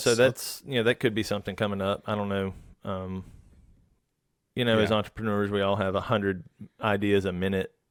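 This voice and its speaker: On a very clean recording with a silent background, a man with a Southern US accent speaks in a fairly low, monotone, flat voice. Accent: Southern US drawl. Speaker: woodworker and furniture maker. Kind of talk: podcast interview answer.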